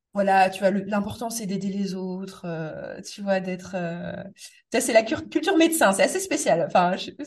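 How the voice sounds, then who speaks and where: Somewhat breathy, a woman speaks at a fairly slow pace. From Metz, eastern France. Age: 30s. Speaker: property investor and podcast host. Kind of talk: casual interview.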